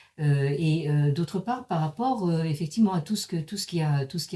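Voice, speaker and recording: With a dark, mellow tone and lively intonation, a woman speaks on a very clean recording with a silent background. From Paris, France. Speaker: professor. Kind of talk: lecture. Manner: halting, many hesitations.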